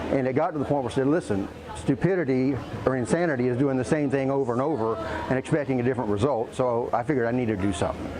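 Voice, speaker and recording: Talking very fast, a man at medium pitch keeps ordinary pitch variation and very even loudness. Audible room echo and noticeable background noise fill the recording. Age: 60s. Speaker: gym client. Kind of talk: testimonial interview. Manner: casual, conversational.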